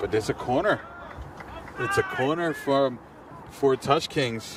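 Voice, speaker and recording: A man speaks at a fairly slow pace and a very even loudness. Noticeable background noise runs underneath. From Mexico. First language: Spanish. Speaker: sports commentator. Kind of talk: live commentary. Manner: animated.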